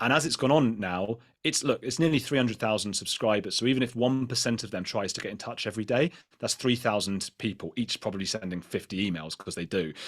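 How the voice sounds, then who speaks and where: Speaking very fast with a British accent, a man shows ordinary pitch variation on a very clean recording with a silent background. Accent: British accent, liked by American viewers. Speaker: podcaster and YouTuber. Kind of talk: panel discussion. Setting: live event panel. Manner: fast, with frequent restarts.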